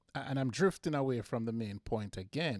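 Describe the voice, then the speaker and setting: Someone with a Jamaican accent speaks with ordinary pitch variation in a very clean recording, the sound dry and close with no echo against a silent background. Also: man. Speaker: football podcast host. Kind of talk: solo podcast monologue. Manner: halting, frequent repetitions.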